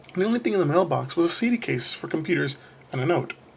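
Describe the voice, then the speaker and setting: Amid noticeable background noise, a man with a high pitch talks very fast, his pitch swinging very widely. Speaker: creepypasta narrator. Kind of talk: horror story reading.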